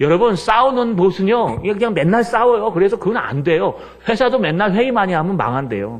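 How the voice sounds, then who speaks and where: A man's high-pitched voice in an animated tone over noticeable background noise. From Seoul, South Korea. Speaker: pastor. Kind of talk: sermon.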